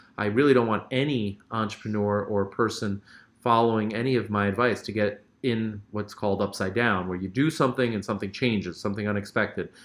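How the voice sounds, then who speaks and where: A man with a fairly low voice talks fairly quickly, his intonation fairly even. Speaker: short-term rental educator and host. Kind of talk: live stream Q&A. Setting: live stream from a hotel. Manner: fast; casual, filler-heavy.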